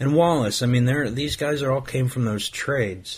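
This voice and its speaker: A man speaks with an American accent at medium pitch. His voice is somewhat breathy, with fairly even intonation. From Ohio, US Midwest. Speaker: sports podcast host. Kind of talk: solo podcast monologue. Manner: halting, with many repetitions.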